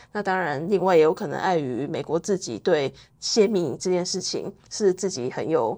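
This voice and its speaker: A woman talks at a moderate pace in a normal speaking voice with lively intonation. Her pitch is medium, and the background is quiet. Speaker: think tank intern and researcher. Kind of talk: interview.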